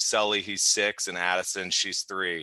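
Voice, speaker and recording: Against a quiet background, a man with a fairly low pitch and a bright, sharp tone speaks at a fairly slow pace in a dry, close sound with no echo. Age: 30s. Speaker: real estate agent. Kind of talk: sales training presentation. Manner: monotone.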